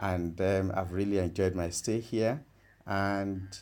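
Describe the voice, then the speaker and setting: A fairly slow delivery with fairly even intonation. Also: man. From Nigeria. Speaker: senior lecturer in petroleum engineering. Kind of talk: interview answers, fairly formal.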